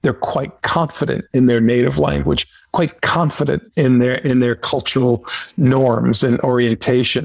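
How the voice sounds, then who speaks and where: His pitch is in the middle range and varies in an ordinary way. The man has an unremarkable speaking voice. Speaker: podcast host. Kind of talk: interview.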